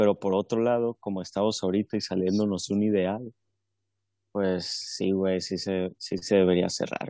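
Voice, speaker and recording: In a dry, close sound with no echo and a quiet background, a man with a fairly low pitch and a dark, mellow tone talks at a fairly slow pace with fairly even intonation. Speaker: podcast co-host. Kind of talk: casual chat.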